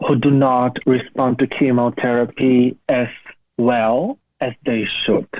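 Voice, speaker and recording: A man speaks with a Slovak accent. His pace is very slow. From Slovakia. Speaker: cancer survivor and PhD student. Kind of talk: interview. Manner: halting.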